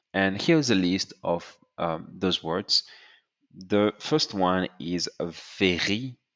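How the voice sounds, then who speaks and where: A man with a French accent speaks at a very slow pace. His very deep, low voice has ordinary pitch variation. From France. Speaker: French tutor. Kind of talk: tutorial.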